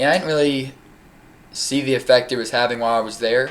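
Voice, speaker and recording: Here a man talks at a fairly quick pace. His intonation stays monotone and flat. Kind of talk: testimony. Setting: webcam recording. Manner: halting, frequent repetitions.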